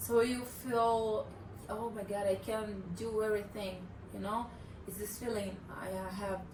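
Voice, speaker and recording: In a Brazilian accent, a woman speaks at a fairly slow pace and medium pitch with monotone, flat intonation and long, frequent pauses, amid audible room echo and noticeable background noise. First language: Portuguese. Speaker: remote worker, travel partner. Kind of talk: casual interview. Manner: halting, searching for words.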